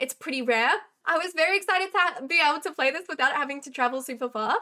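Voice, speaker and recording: A woman with a high, bright and sharp voice projects it loudly, talking fairly quickly with lively intonation. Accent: Australian. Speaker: chess streamer. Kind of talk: game recap on live stream. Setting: live stream.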